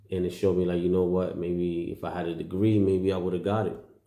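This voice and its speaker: Audible room echo surrounds a man whose very deep, low pitch carries a dark, mellow tone. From New York City, Puerto Rican heritage. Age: 40s. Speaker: vlogger. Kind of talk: casual monologue. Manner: hesitant, many fillers.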